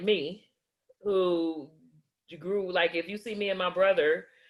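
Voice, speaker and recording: Speaking at a very slow pace, the woman has a medium pitch. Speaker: interviewer and channel host. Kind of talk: interview conversation. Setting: video call. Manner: loud; blunt.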